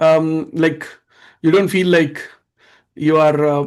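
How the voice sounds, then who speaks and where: A man with an Indian accent speaks in a fairly high pitch with fairly even intonation. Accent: Indian English, unchanged. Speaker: live stream host. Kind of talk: live stream panel discussion. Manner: fast.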